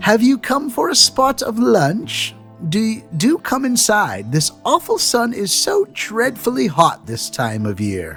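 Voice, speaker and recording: A man puts on a croaky character voice at a high pitch and a fairly slow pace. Clear music plays in the background. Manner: welcoming, polite.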